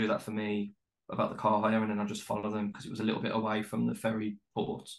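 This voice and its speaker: A man speaks very fast with a Birmingham accent. His pitch is fairly low. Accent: Birmingham (Brummie). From West Midlands, Birmingham. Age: 30s. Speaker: travel writer. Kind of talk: casual chat. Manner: halting, many fillers.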